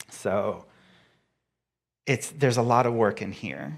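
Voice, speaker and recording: Recorded very cleanly against a silent background, a man talks at a moderate pace with ordinary pitch variation. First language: not English. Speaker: guest speaker and author. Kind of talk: sermon.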